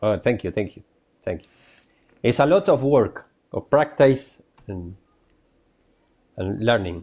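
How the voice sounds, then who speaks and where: A man of medium pitch with a Spanish accent speaks at a fairly slow pace. His pitch swings very widely, and he takes long, frequent pauses. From Uruguay. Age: 40s. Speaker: painter. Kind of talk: interview. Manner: halting, many hesitations.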